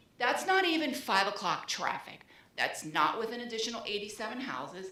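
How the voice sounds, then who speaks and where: With audible room echo and noticeable background noise, a woman talks at a very fast pace in an animated tone. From New Orleans, Louisiana. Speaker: resident speaking at public meeting. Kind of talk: public comment at city meeting. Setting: public meeting room at microphone.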